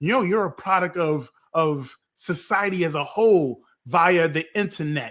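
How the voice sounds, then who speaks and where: A man with an American accent speaks in a high pitch with an animated tone. His pace is moderate and his pitch variation ordinary. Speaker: podcast host. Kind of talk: casual panel discussion. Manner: animated, repetitive.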